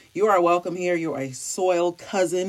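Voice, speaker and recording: Here a woman speaks at medium pitch. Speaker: podcast host. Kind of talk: casual podcast monologue.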